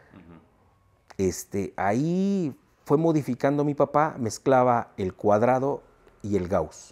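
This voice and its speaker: A man talks at a very slow pace with long, frequent pauses, very wide pitch swings and big swings in loudness. The background is quiet. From Mexico. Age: 40s. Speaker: sound system owner; interviewee. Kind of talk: interview. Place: home room.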